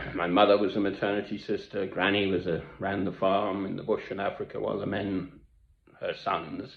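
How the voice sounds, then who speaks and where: A man with a British accent speaks at a moderate pace. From Britain, English and Scottish family. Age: 60s. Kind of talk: monologue to camera.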